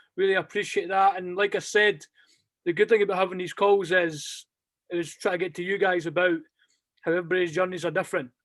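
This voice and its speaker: Someone talks very fast with a strong Scottish accent. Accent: thick Scottish. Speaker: basketball club coach. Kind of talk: closing remarks; interview. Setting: video call.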